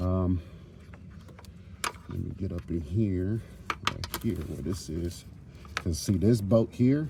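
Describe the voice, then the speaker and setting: Over noticeable background noise, a man with a very deep, low pitch speaks in lively intonation. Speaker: car repair youtuber. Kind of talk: tutorial. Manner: casual, conversational.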